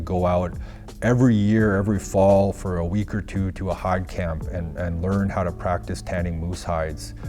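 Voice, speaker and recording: Music plays in the background as a man with a northern Canadian accent talks at a moderate pace in a very deep, low pitch. His pitch varies in an ordinary way, and audible room echo fills the recording. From Northwest Territories, Canada (Fort Good Hope, Yellowknife). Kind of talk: interview. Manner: halting, many fillers.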